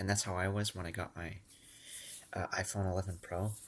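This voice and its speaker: A man's soft-spoken, very deep, low voice in a monotone, flat intonation, on a very clean recording with a silent background. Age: 20s. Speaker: vlogger. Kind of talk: casual monologue. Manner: rambling, halting.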